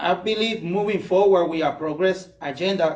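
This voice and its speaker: With a Puerto Rican accent, a man talks at a fairly slow pace and with fairly even intonation. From Puerto Rico. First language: Spanish. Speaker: political candidate. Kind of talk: campaign speech. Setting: candidates forum with audience.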